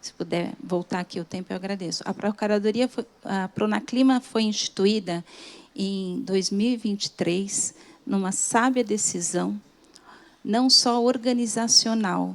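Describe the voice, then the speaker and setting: Soft-spoken and fairly slow, a woman speaks at a medium pitch with ordinary pitch variation. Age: 50s. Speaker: government lawyer. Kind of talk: conference talk. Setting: stage with audience. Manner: formal.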